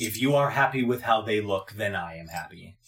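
A man uses a put-on character voice at a medium pitch, speaking at a fairly quick pace. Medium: actual play. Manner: formal, stilted phrasing.

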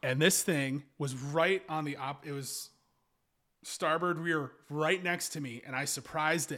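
This man speaks with an American accent, his fairly high, bright and sharp voice moving at a fairly slow pace with fairly even intonation in a very clean recording with a silent background. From Kentucky, US South. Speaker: adventurer and canoeist. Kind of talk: casual chat.

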